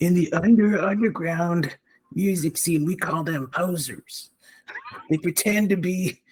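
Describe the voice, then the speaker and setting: The voice is a put-on character, pitched in the middle range. Its delivery is fairly slow. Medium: actual play. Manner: cocky, laughing, slangy.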